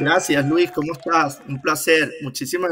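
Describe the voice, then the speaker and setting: A man with a Venezuelan accent speaks at a fairly slow pace over light background noise. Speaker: civil engineer and trader; interview guest. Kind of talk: interview. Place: home room.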